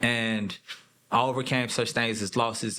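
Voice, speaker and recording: Bright and sharp in tone, a man speaks in an American accent. His delivery is monotone and flat, at a moderate pace. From Texas. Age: 30s. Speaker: mental health speaker, former prisoner. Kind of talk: interview. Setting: studio.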